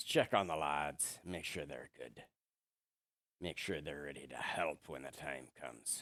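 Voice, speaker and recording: In a put-on character voice, a man speaks with a very deep, low, raspy pitch. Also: moderate pace. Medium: actual play. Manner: bluff, swaggering.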